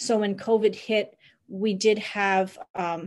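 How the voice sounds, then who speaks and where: Over a quiet background, a woman talks in a Canadian accent. Her intonation stays monotone and flat. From Niagara, Ontario; Ontario. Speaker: bed and breakfast owner, migrant worker supporter; panelist. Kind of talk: webinar presentation. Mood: earnest, caring. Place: home room. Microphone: video call.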